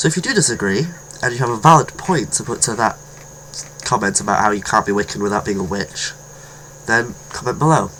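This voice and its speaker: Lively intonation with a British accent, long, frequent pauses and noticeable background noise. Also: man, medium pitch for a man. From Britain. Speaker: video blogger on witchcraft. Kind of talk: casual vlog monologue. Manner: halting, with self-corrections.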